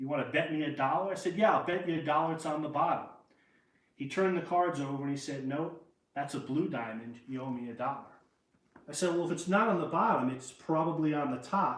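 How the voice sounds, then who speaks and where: A fairly high-pitched man's voice with a New York accent, ordinary pitch variation and a fairly quick pace, amid audible room echo. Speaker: magician. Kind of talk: magic performance patter, storytelling. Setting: live stream show. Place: home room.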